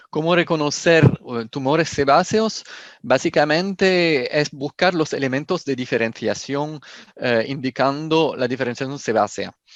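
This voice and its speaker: A man with a French accent talks at a fairly slow pace and a fairly high pitch, with ordinary pitch variation and a dry, close sound free of echo. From France. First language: French (speaking Spanish). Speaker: pathology professor. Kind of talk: lecture. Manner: halting.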